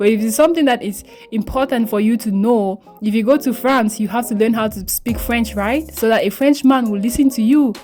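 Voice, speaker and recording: A woman with a Cameroonian accent, fairly high pitch, ordinary pitch variation and a fairly quick pace, over music in the background. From Cameroon, English-speaking region. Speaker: beauty vlogger. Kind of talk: tutorial. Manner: casual, chatty.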